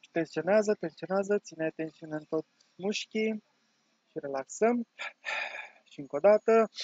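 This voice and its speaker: With long, frequent pauses and big swings in loudness, a man speaks in a calm tone at a high pitch with ordinary pitch variation. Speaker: online course teacher and meditation guide. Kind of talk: guided meditation with breathing and body-tensing exercise, spoken as direct instructions. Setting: video recording for online course. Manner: calm, slow-paced, instructive, with pauses between cues; warm, encouraging, conversational.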